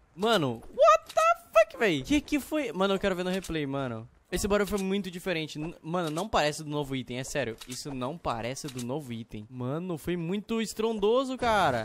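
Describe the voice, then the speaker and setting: Noticeable background noise sits behind a man speaking at a moderate pace. His pitch swings very widely. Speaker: gaming youtuber. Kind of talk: gameplay commentary. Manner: excited.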